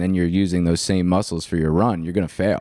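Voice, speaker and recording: Very deep, low-pitched male voice with a dark, mellow tone on a very clean recording against a silent background. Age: 30s. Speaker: entrepreneur and podcast host. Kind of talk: casual chat. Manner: animated.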